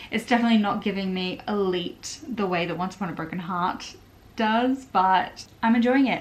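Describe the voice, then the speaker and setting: A woman with an Australian accent speaks at a medium pitch. Her pace is moderate and her pitch varies in an ordinary way. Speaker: book vlogger. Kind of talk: casual vlog talk to camera. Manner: casual, filler-heavy.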